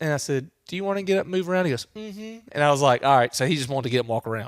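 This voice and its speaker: Speaking at a very fast pace with a Louisiana accent, a man uses a fairly high pitch, an animated tone, and ordinary pitch variation. The recording is very clean, dry, and close, with a silent background and no echo. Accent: Louisiana Southern US. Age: 30s. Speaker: hunter and father. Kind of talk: podcast interview. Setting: outdoor entertainment area. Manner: casual, animated.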